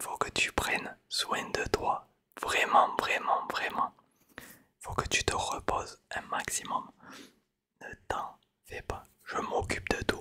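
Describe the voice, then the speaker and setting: A man whispering in a soothing tone at a very slow pace, with long, frequent pauses. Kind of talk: ASMR roleplay, hair-styling. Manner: whispered, soft, soothing.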